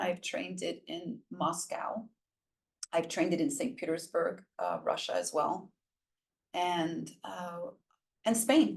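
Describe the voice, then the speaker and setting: A woman talks very slowly in a New York accent. Her speech has long, frequent pauses. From Brooklyn, New York (Puerto Rican). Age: 60s. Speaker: workshop facilitator and transformational coach. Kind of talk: casual interview conversation.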